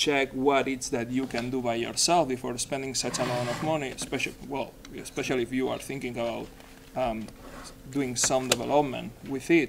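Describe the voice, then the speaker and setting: In a Spanish accent, a man speaks at a medium pitch. His intonation is monotone and flat. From Spain, Barcelona. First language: Spanish or Catalan. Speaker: software developer, conference speaker. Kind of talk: technical presentation.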